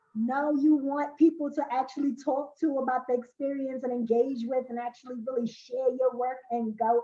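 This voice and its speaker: A woman talks at a moderate pace in a dark, mellow tone. Her intonation is fairly even. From Brooklyn, New York. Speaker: poet and spoken word artist. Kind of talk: interview.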